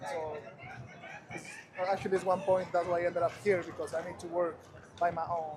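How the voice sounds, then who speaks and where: With a Spanish accent, a man speaks at a high pitch in a monotone, flat intonation, leaving long, frequent pauses amid noticeable background noise. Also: fairly quick pace. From Ecuador. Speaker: passerby, photographer. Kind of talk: casual street conversation. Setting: outdoors in Times Square.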